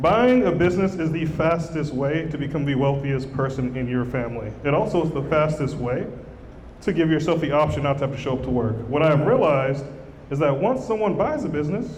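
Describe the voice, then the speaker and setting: Speaking at a fairly quick pace, a man with a fairly high pitch and ordinary pitch variation is heard with audible room echo and noticeable background noise. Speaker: business acquisition educator and author. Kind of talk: live stage presentation. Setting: stage with live audience, hand mic. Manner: fast; energetic, animated.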